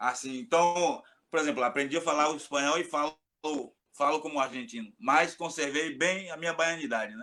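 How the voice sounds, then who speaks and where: A man speaks at a moderate pace with a Bahian accent, his pitch fairly high and his tone bright and sharp. His pitch varies in an ordinary way. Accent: Bahian Brazilian Portuguese. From Bahia, Brazil (Salvador). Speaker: capoeira master. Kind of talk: casual chat.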